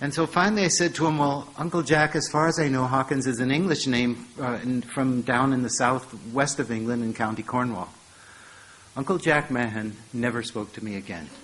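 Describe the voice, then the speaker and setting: Here is an ordinary speaking voice with an American accent. It moves at a moderate pace with ordinary pitch variation. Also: man, medium pitch for a man. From United States (St. Louis). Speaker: professor. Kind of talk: lecture.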